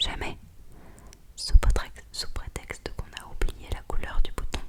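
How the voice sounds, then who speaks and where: A whispered voice comes through over clearly audible background noise. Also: woman. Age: 20s. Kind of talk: whispered novel reading. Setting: home studio.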